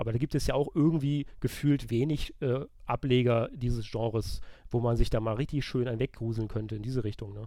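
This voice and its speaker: Speaking at a fairly quick pace, a man with a medium pitch and a dark, mellow tone keeps his intonation fairly even. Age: 30s. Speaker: video game journalist. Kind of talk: casual chat.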